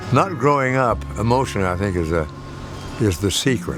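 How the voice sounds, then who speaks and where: Music plays in the background while a man talks at a moderate pace. His pitch swings very widely. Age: 90s. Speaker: actor. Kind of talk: documentary interview answer.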